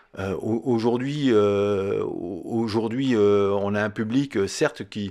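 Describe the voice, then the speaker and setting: A man speaks very slowly on a very clean recording with a silent background. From Lorraine, France (Mont-Saint-Martin, Longwy area). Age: 60s. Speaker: former footballer. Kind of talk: interview. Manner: halting, many hesitations.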